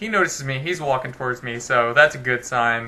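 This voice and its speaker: A man speaks with a bright, sharp tone. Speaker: gaming video creator. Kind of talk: let's play commentary. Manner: casual, conversational.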